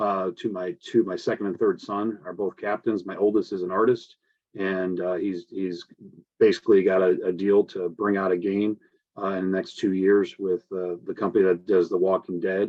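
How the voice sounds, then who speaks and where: A man with an American accent talks at a moderate pace. His fairly low voice stays monotone, with flat intonation. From US Midwest, Indiana (Michigan City). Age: 50s. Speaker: prosecutor and election candidate. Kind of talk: candidate forum statement. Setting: video call. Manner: halting, many fillers.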